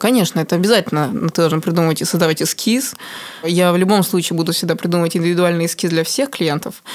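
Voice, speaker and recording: A woman speaks very fast in a fairly low pitch. Her loudness stays very even, and her pitch varies in an ordinary way. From Moscow, Russia. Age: 20s. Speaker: tattoo artist. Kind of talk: interview.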